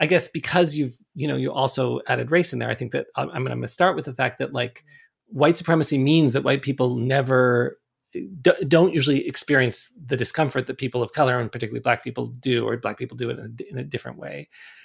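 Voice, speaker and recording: A man with a Canadian accent at a very fast pace. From Canada, Toronto. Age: 50s. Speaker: sex educator and author. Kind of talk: interview conversation.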